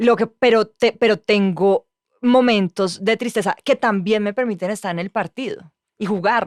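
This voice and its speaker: A woman with an ordinary speaking voice talks at a fairly slow pace and medium pitch, with ordinary pitch variation. The sound is dry and close, with no echo. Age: young. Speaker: journalist. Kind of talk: casual chat.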